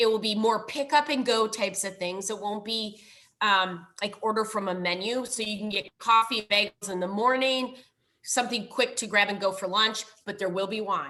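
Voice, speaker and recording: A woman speaks with a strong Minnesotan accent at a fairly high pitch. Her tone is bright and sharp, and her intonation is fairly even. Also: moderate pace. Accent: thick Minnesotan. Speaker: library foundation director. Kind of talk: presentation.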